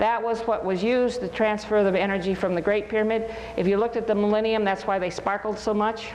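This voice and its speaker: A woman talks very fast in a fairly high pitch, with monotone, flat intonation, very even loudness and hardly any pauses. Audible room echo and noticeable background noise fill the recording. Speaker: lecturer. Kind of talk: lecture.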